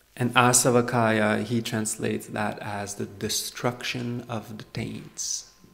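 In a relaxed tone, the speaker goes at a very slow pace with hardly any pauses and a monotone, flat intonation. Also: man, medium pitch for a man. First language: French. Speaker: Buddhist monk and meditation teacher. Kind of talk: dharma talk. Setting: meditation retreat with live audience. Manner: relaxed, frequent fillers and laughs.

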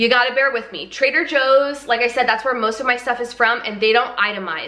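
A woman speaks at a fairly quick pace. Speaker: vlogger. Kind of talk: casual vlog chat. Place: kitchen. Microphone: camera far.

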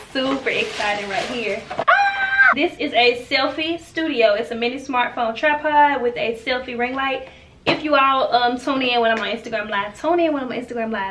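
A woman's raised, projected voice at a fairly quick pace, with ordinary pitch variation and noticeable background noise. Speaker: haul vlogger. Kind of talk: casual vlog chat. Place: home room.

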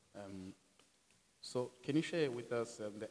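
A man with a South African accent, a dark, mellow tone and a fairly slow pace. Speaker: podcast co-host. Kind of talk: casual interview. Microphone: handheld.

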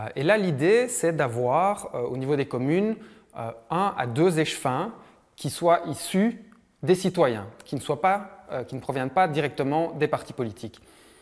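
A man's fairly high voice at a fairly slow pace, lively intonation, and a quiet background. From Brussels, Belgium. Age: 30s. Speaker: real estate worker and citizen activist; interviewee. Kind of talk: recorded interview; interview answer. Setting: at his home. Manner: halting. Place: home room. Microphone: lapel.

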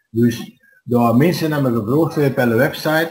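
A man's somewhat breathy voice moves at a moderate pace, with ordinary pitch variation. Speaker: dialect society member. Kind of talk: interview answer. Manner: hesitant.

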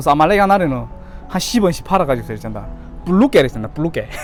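Over music in the background, a man with a Yanbian accent speaks with lively intonation. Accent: Yanbian Korean dialect. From Korean-Chinese from Yanbian, China. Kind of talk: casual talk to camera.

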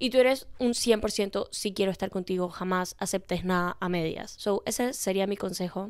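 Against a quiet background, a woman talks in an animated tone at a moderate pace with hardly any pauses, the sound dry with no echo. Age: 20s. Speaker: podcast host; podcast host giving advice. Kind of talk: casual chat; casual podcast advice chat. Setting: bedroom. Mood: expressive, animated, empathetic. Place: home room. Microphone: handheld.

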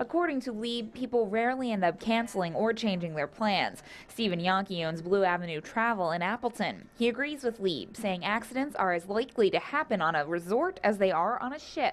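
Here is a woman with a normal speaking voice, pitched fairly high with lively intonation. She moves at a fairly quick pace with hardly any pauses. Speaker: TV news reporter. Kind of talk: scripted news report voiceover. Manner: even, measured, clear broadcast narration.

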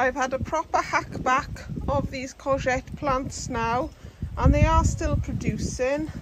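Loud background noise surrounds a woman who speaks at a very slow pace, with a dry sound with no echo. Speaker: home gardener vlogger. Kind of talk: casual vlog chat. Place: garden. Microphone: phone near.

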